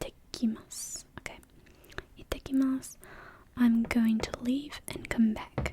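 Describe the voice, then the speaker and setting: Whispering at a fairly slow pace with long, frequent pauses, the voice comes through noticeable background noise. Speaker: language tutor. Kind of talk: soft-spoken ASMR language lesson. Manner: soft-spoken.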